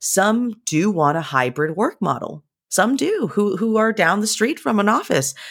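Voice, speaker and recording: A woman speaks fairly slowly at a medium pitch, with vocal fry and very even loudness. Her pitch swings very widely. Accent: American. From California, San Jose (Bay Area). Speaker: employee experience director. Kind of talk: interview.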